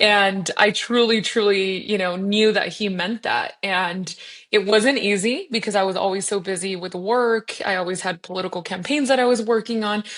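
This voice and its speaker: A woman with a Spanish accent at a medium pitch, fairly even intonation and hardly any pauses. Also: moderate pace. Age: 30s. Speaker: state legislator. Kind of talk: interview conversation. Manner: conversational, with frequent fillers.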